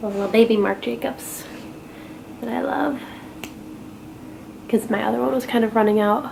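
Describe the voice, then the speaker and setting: A woman speaks at a fairly high pitch with lively intonation. Her speech has long, frequent pauses, and there is noticeable background noise. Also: moderate pace. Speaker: beauty and lifestyle blogger. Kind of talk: casual chat while doing makeup. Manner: relaxed, filler-heavy with lots of 'like'; soft, near whispering at times.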